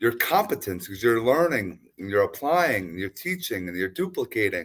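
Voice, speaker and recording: Vocal fry colors a man's voice on a very clean recording with a silent background. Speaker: podcast host. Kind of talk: podcast interview talk.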